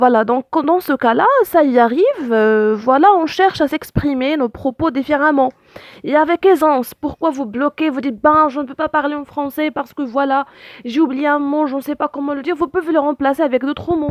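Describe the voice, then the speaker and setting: This woman has a high pitch and ordinary pitch variation, speaking at a moderate pace. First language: Arabic (speaking French). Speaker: language teacher. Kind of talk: tutorial. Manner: hesitant, many fillers.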